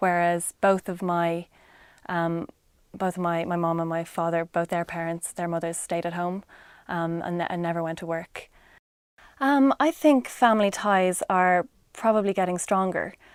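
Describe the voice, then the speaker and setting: A woman with an Irish accent, fairly low pitch, ordinary pitch variation and a fairly slow pace, on a very clean recording with a silent background. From Ireland. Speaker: interviewee. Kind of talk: casual interview answer. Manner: hesitant, many fillers.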